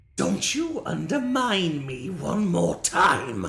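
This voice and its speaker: A put-on character voice sits at a middle pitch and sounds shrill. It moves at a very slow pace. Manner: angry, scolding.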